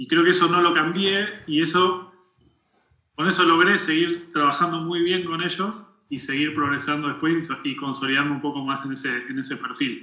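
Ordinary variation marks the pitch. The speech moves at a moderate pace. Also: man, fairly high pitch for a man. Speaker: tech engineering director. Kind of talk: interview. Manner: halting.

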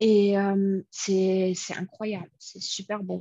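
A woman talks at a very slow pace. Her medium-pitched voice is somewhat breathy. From United States. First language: English (speaking French). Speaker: conference interpreter and home cook. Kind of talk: casual interview. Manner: hesitant, many repetitions.

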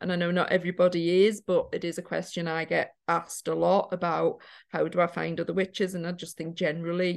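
Against a quiet background, a woman with a Geordie accent talks at a fairly quick pace with hardly any pauses. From Newcastle, northern England. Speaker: witchcraft teacher and author. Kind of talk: casual interview chat. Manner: halting, many fillers.

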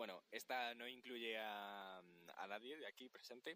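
A man with a Spanish accent speaks at a fairly slow pace in a fairly low voice with ordinary pitch variation. His tone is bright and sharp, and the sound is dry and close with no echo. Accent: Spain Spanish. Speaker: podcast guest, friend. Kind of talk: casual storytelling. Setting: outdoors on a beach at night.

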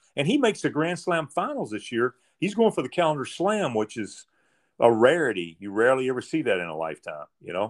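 A man speaks at a fairly quick pace with a fairly high pitch, very wide pitch swings and vocal fry. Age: 60s. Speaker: podcast host, tennis player. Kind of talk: interview. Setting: remote call.

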